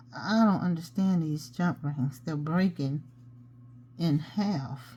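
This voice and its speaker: Speaking very slowly, a woman uses a very deep, low pitch with a dark, mellow tone, lively intonation and a somewhat breathy sound. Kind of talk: tutorial. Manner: mumbles sometimes; casual, chatty.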